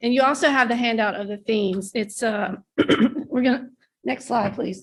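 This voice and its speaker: A woman's raspy, hoarse put-on character voice, fairly high in pitch, with ordinary pitch variation and a moderate pace. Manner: whispering earlier, voice not yet warmed up.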